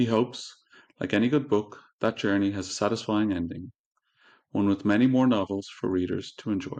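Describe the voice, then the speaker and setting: Speaking at a fairly quick pace with an Irish accent, a man talks in a fairly low pitch with ordinary pitch variation over a quiet background. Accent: Irish brogue. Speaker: podcast host and audiobook reader. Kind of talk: reading aloud. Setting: podcast recording on video.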